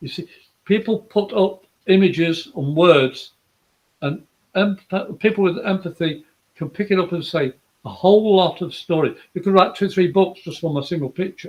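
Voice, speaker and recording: A man with an English accent speaks at a moderate pace in a high pitch, with ordinary pitch variation. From England. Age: 60s. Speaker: psychic medium. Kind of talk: live psychic reading show. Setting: live video stream.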